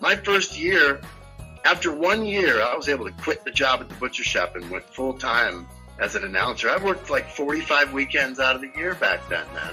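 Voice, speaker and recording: A man speaks fairly briskly while music plays behind him. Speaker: ring announcer, MMA. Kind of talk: casual interview answer, joking and crude. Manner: boastful, humorous.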